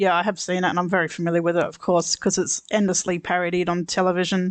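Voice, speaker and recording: The speaker talks at a very fast pace with an Australian accent. The background is quiet. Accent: mild Australian, once taken for Scottish. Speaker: podcast co-host. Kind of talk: casual chat.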